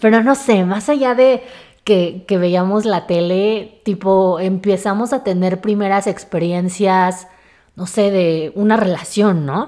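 A woman with a Mexico City accent talks at a very slow pace, using medium pitch and ordinary pitch variation. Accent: Mexican Spanish (Mexico City). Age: 20s. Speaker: podcast host. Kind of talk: solo casual monologue. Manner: chatty, many filler words.

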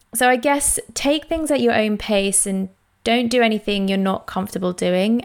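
Speaking with a London accent, a woman talks at a moderate pace and a fairly high pitch. Her pitch varies in an ordinary way, in a very clean recording with a silent background. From East London. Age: 20s. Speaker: podcast host. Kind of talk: solo personal monologue.

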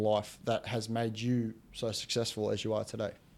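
Recorded very cleanly with a silent background, a man with an Australian accent speaks at a medium pitch in a dark, mellow tone. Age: 20s. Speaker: podcast host. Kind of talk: casual interview.

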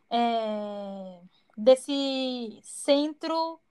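A woman speaks at a high pitch. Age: 20s. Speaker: podcast co-host, English teacher. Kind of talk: casual chat.

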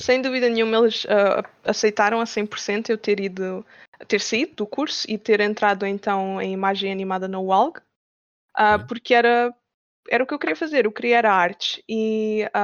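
Using a normal speaking voice, a woman talks at a fairly slow pace and fairly high pitch with ordinary pitch variation. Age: 20s. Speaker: game developer. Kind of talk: interview.

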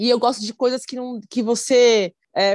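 In a normal speaking voice, a woman with a fairly high pitch talks at a moderate pace against a quiet background. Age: 40s. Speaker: chef. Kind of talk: casual interview.

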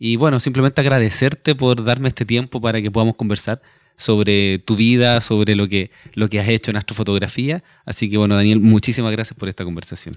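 At a fairly quick pace, a man with a medium pitch talks in a plain, everyday voice, recorded very cleanly against a silent background with a dry, close sound and no echo. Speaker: podcast host, astronomy guide. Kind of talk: interview. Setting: on location at an observatory at night.

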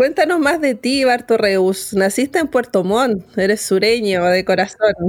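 A woman with an unremarkable speaking voice and a fairly high pitch talks at a fairly slow pace with very even loudness and hardly any pauses. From Chile, born in Temuco, moved to Santiago around 9. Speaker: radio host, journalist. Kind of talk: radio interview.

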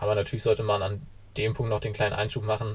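A man talks at a very fast pace and medium pitch. His voice is somewhat breathy. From northern Germany, Kiel. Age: 20s. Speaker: university student and blockchain association board member. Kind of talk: explanatory interview.

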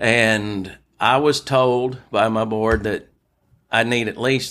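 In a Louisiana accent, a man at medium pitch speaks with monotone, flat intonation on a very clean recording with a silent background. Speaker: founder of a nonprofit for veterans. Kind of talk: interview. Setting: hotel room.

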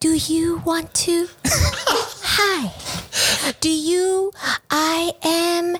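This female-sounding, put-on character voice is extremely high in pitch and very slow in pace. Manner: cheesy, halting sales pitch.

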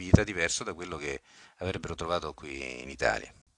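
A man's very deep, low voice with a bright, sharp tone, dry and close with no echo, in a very clean recording with a silent background. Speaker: podcast host and football club manager. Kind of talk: scripted podcast narration.

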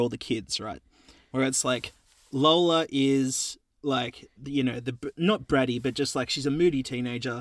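Speaking at a moderate pace with an Australian accent, a man has a fairly high pitch, in a very clean recording with a silent background. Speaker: podcast co-host. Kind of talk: casual chat. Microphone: new recording setup.

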